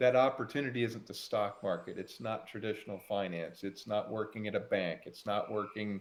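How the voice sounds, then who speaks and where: A man talks at a moderate pace and a fairly low pitch with fairly even intonation, in an ordinary speaking voice. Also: hardly any pauses. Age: 60s. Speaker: farmer and crypto podcast host. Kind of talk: casual chat.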